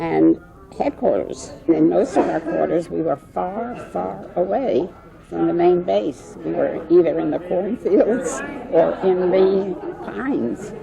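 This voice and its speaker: Very slow speech with crowd noise in the background. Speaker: war veteran. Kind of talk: interview.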